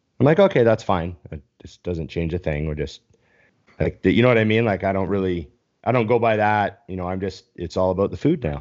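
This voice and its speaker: A man with a Canadian accent and a very deep, low pitch speaks at a fairly quick pace, with ordinary pitch variation and big swings in loudness. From Canada. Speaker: bodybuilding podcast host and coach. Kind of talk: casual chat. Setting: live stream video call.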